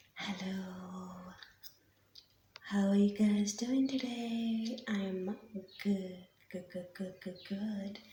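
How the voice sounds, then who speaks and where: Soft-spoken and somewhat breathy, a woman talks at a medium pitch in a dark, mellow tone. She speaks at a very slow pace, with long, frequent pauses. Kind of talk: ASMR soft-spoken show and tell.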